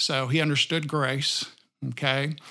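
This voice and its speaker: A man with a Texan accent speaks at a fairly high pitch on a very clean recording with a silent background. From Texas, rural area south of Austin. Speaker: banker. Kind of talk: interview.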